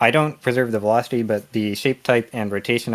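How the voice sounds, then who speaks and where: There is no background sound at all in this very clean recording. The delivery stays flat and monotone. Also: man. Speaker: indie game developer. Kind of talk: conference lightning talk.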